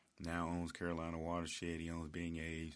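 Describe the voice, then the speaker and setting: A man with a very deep, low pitch speaks at a moderate pace. The recording is very clean, with a silent background. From Memphis, Tennessee (Whitehaven). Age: 40s. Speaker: party promoter and corporate manager. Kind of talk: interview. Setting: studio.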